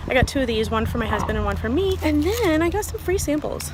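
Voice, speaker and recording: Against noticeable background noise and audible room echo, a woman speaks. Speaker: vlogger and amateur runner. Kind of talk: casual vlog narration.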